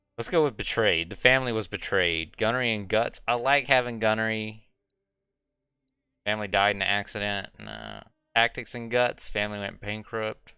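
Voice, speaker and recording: A man at a fairly low pitch and a moderate pace, bright and sharp in tone, with fairly even intonation over a quiet background. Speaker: gaming streamer. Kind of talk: live game streaming with read-aloud story text. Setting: live stream.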